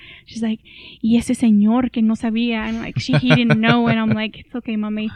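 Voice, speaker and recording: A woman with a Spanish accent at a fairly quick pace, in a dry, close sound with no echo. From Mexico (Matamoros, Tamaulipas), then Brownsville, Texas from age 12. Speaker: public health professional. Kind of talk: casual chat.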